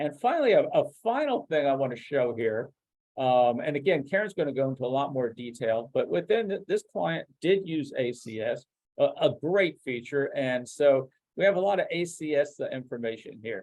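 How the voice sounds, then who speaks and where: A man's fairly high voice carries lively intonation. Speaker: software product expert presenting a demo. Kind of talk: webinar product demo. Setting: online webinar. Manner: fast; halting, many fillers and restarts.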